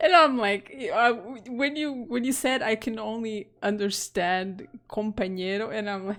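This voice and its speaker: Speaking at a fairly slow pace with hardly any pauses, a woman with a Portuguese accent uses a fairly high pitch and ordinary pitch variation. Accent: Portuguese (European) accent in English. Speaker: game streamer. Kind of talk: casual chat while live-streaming a game. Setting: live stream.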